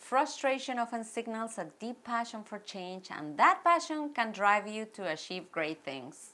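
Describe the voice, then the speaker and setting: A Mexican accent with very wide pitch swings, a fairly slow pace and hardly any pauses. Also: woman, fairly high pitch for a woman. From Mexico. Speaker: actress and producer. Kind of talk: personal story vlog. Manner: animated.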